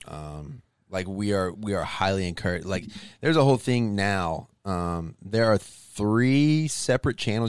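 Against a quiet background, a plain, everyday voice speaks at a moderate pace with ordinary pitch variation. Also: man. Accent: American. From Arkansas, US South. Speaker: comedian and Air Force airman. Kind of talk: casual chat.

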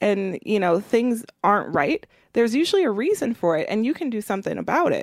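Recorded with a dry, close sound and no echo, a woman with an American accent uses an ordinary speaking voice, fairly high in pitch, with lively intonation at a fairly quick pace. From Milwaukee, Wisconsin. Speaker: racial and economic justice organizer. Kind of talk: interview.

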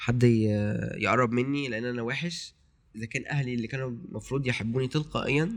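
With an ordinary speaking voice, a man talks at a fairly quick pace and a medium pitch. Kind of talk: casual chat.

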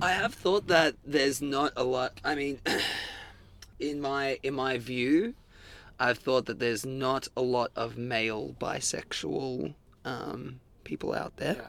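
Ordinary pitch variation at a fairly slow pace, with an Australian accent. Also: man, medium pitch for a man. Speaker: punk band singer. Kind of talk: casual interview chat. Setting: band van. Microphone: sound distorted in places.

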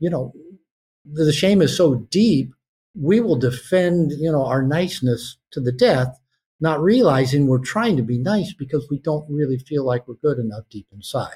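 Somewhat breathy and fairly high-pitched, a man with an American accent speaks with lively intonation. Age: 60s. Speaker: author and therapist. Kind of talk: interview conversation.

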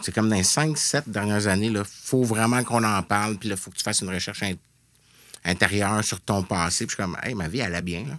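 In a very clean recording with a silent background, a man with an ordinary speaking voice talks at a fairly quick pace, fairly low in pitch, with ordinary pitch variation. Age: 40s. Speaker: video game developer. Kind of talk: casual chat. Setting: studio.

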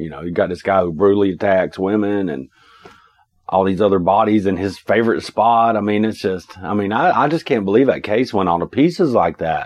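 Moving at a fairly quick pace, this man's voice shows ordinary pitch variation. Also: fairly low pitch for a man. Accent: Southern Appalachian. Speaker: podcast co-host. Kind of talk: casual true crime podcast chat. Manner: joking, casual.

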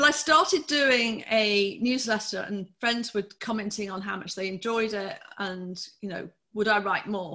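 Here is a woman with a fairly high pitch and an ordinary speaking voice. She talks at a fairly slow pace with ordinary pitch variation. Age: 50s. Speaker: holistic health coach and nurse. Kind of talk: casual interview chat.

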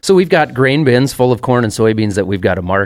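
A man speaks with a Minnesota accent. His pace is fairly quick. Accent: mild Minnesota. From US Midwest. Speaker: farmer. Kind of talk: casual chat. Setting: studio.

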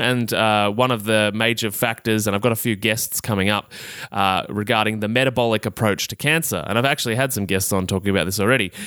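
Upbeat and bright with a sharp edge, a man with an Australian accent speaks at medium pitch with ordinary pitch variation. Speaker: health podcast host and coach. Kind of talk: solo educational podcast monologue. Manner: casual, upbeat.

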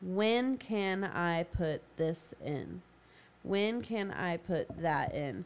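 A woman speaks with a fairly low pitch for a woman. Her intonation is lively. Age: 30s. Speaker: podcast co-host, mother. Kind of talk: casual chat.

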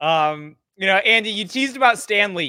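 A man's bright, sharp tone, with lively intonation at a moderate pace. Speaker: interviewer at financial news outlet. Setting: video call.

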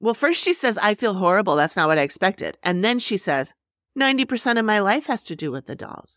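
On a very clean recording with a silent background, a woman speaks at a very fast pace with very wide pitch swings. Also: medium pitch for a woman, dry, close sound with no echo. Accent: American. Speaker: podcast host. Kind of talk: casual chat, episode recap.

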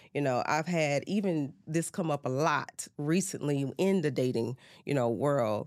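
Against a silent background in a very clean recording, a woman with a very deep, low pitch speaks at a fairly slow pace, her loudness very even and her pitch varying in an ordinary way. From Baton Rouge, Louisiana. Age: 30s. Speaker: healthcare executive. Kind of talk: interview. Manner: halting, many fillers.

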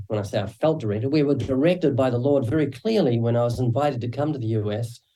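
With a slight New Zealand accent, a man speaks at medium pitch in a dark, mellow, somewhat breathy tone. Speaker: evangelist and author. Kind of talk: interview.

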